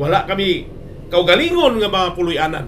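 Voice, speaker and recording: A man's high-pitched, animated voice at a fairly quick pace, with lively intonation and light background noise. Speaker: preacher. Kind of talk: sermon on radio. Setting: radio broadcast. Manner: animated, exhortative, mixes English phrases. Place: studio.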